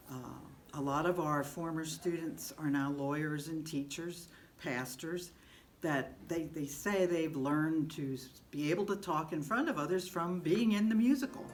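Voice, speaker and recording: The voice has ordinary pitch variation, and the room echo is audible. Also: woman, very deep, low pitch for a woman, moderate pace. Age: 70s. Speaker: retired teacher, musical director. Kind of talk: interview.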